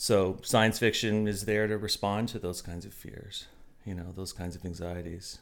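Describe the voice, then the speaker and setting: Using an unremarkable speaking voice, a man talks at a fairly quick pace and a fairly low pitch. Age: 40s. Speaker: college instructor and novelist. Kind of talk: casual interview.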